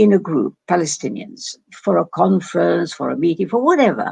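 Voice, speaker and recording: The recording of a woman with an English accent has a dry, close sound with no echo. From England. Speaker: doctor and Middle East scholar. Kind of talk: interview. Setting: video call. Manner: halting.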